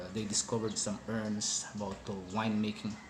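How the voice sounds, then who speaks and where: Someone with a non-native accent talks amid noticeable background noise and audible room echo. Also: man. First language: not English. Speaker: hospitality worker explaining wine. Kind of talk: informal educational talk. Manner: hesitant, many fillers.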